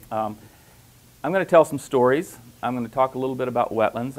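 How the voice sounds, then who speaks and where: This man speaks with a Louisiana accent. His voice sits at a medium pitch. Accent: Southern US (Louisiana). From US South, Louisiana. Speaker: professor. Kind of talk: conference presentation.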